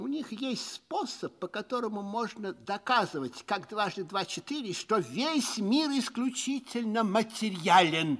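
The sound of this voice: Putting on a character voice, a man speaks high and fairly bright, at a fairly slow pace with lively intonation and few pauses.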